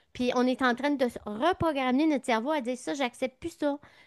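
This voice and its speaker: Over a quiet background, with a dry, close sound and no echo, a woman talks at a moderate pace in a high pitch. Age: 60s. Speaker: naturopath. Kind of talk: interview.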